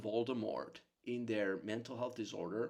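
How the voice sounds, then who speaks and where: The speaker has a Czech accent and an animated tone, moving at a fairly slow pace. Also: man. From Czech Republic. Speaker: psychotherapist. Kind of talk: monologue to camera.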